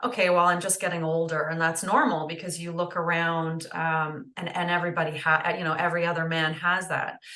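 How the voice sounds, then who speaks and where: Over noticeable background noise, a woman with a Canadian accent speaks fairly quickly in a fairly low, monotone, flat voice with hardly any pauses. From northern Ontario, Canada. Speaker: holistic nutritionist. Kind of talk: interview conversation. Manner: hesitant with many fillers.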